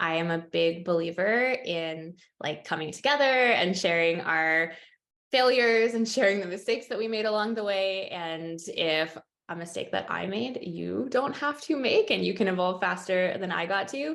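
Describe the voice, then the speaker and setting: With a Canadian accent, a woman with a plain, everyday voice talks at a moderate pace and medium pitch with lively intonation. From Canada. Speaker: nutritionist and herbalist. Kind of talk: webinar presentation.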